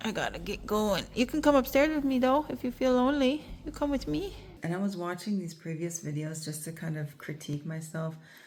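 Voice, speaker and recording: A woman's somewhat breathy voice at a fairly quick pace with lively intonation. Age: 40s. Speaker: nature therapist and vlogger. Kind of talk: casual vlog talk to camera.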